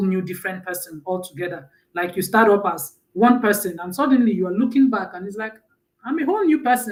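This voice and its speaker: A woman with a Nigerian accent speaks fairly quickly at a medium pitch. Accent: Nigerian accent, held on to. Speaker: mentor and personal branding speaker. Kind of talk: live stream talk. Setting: live stream.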